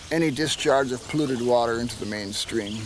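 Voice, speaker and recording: A man with a Wisconsin accent talks at a medium pitch with ordinary pitch variation. Audible room echo and noticeable background noise come through. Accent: Upper Midwest (Wisconsin) English. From northern Wisconsin, Wolf River area. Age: 60s. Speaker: inn owner and raft rental operator. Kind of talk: documentary interview.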